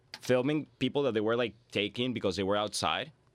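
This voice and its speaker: A man talks with a Spanish accent. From Venezuela. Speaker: immigrant guest. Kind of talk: casual chat.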